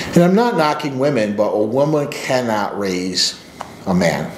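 Speaking fairly slowly, a man swings his pitch very widely while the room echo is audible and light background noise sits behind him. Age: 40s. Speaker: men's coach and channel host; men's coach, channel host. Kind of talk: personal story monologue; casual storytelling vlog. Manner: casual, with filler words. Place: office. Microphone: webcam.

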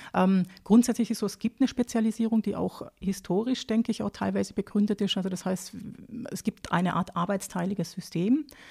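Speaking fairly quickly with a southern German accent, a woman has a dark, mellow tone, vocal fry and a medium pitch with fairly even intonation. The recording is very clean with a silent background, and the sound is dry and close with no echo. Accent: non-Austrian, southern German. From southern Germany, Lake Constance area (Baden-Württemberg). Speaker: agricultural advisor on pig farming. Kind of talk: interview. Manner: hesitant, many fillers.

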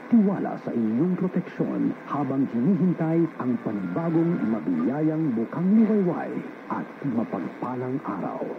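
Through noticeable background noise, a man speaks at a fairly slow pace. His fairly high voice makes very wide pitch swings. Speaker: radio station announcer. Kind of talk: station sign-off prayer and ident, read solemnly. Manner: formal, solemn, measured.

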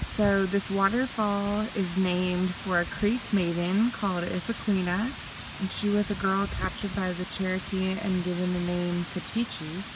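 In a dry sound with no echo and noticeable background noise, a woman speaks in a flat monotone at a moderate pace. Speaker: travel vlogger. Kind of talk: reading a sign aloud, paraphrasing. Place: forest. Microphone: phone near.

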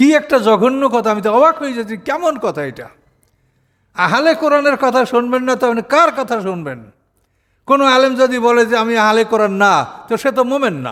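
A man's extremely high-pitched voice with ordinary pitch variation, on a very clean recording with a silent background. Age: 80s+. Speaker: Islamic preacher and scholar. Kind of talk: sermon.

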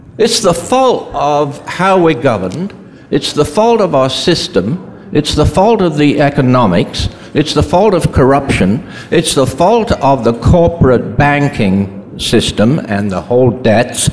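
A man talks at a fairly slow pace with very wide pitch swings. Light background noise can be heard. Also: fairly high pitch for a man. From Britain. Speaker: climate activist physician. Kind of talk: panel discussion. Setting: stage with audience. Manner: halting. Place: hall. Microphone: podium.

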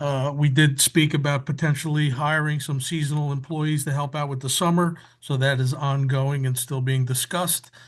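Against a quiet background, a man speaks at a moderate pace in a fairly high, somewhat breathy voice. His intonation is monotone and flat. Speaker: council member. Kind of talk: council meeting report. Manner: quiet, low-volume speaking.

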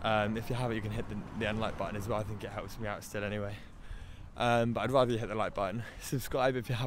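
A man at a very fast pace, fairly low-pitched and monotone with flat intonation, in a dry sound with no echo and light background noise. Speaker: travel vlogger. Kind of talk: casual vlog chat. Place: street. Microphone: phone near.

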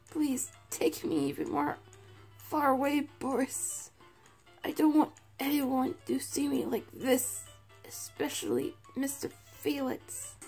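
Faint music sits behind a raspy, female-sounding put-on character voice. The pace is fairly slow. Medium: fan dub. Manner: weak, pleading.

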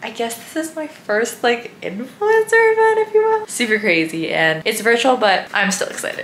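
A woman talks at a moderate speed with light noise behind her. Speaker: vlogger. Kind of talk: casual vlog chat. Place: home room.

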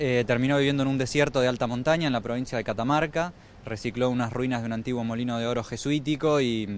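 A man talks at a very fast pace over light background noise, the sound dry with no echo. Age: 30s. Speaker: documentary filmmaker. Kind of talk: interview. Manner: halting. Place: street. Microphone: handheld.

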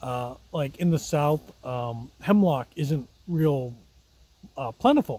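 The man's tone is dark and mellow, somewhat breathy. The sound is dry with no echo. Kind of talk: casual vlog chat. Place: forest. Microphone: phone near.

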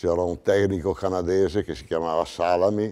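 Very deep and low in pitch, a man speaks with a dark, mellow tone. His pace is moderate and his intonation fairly even. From Italy. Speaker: paint sales veteran. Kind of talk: testimony. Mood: relaxed, anecdotal. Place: studio.

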